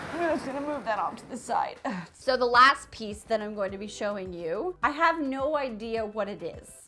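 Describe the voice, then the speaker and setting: A woman with a fairly high, bright and sharp voice speaks at a moderate pace in an animated tone, her intonation lively and her loudness swinging widely. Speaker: DIY home renovation youtuber. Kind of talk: casual vlog haul show-and-tell.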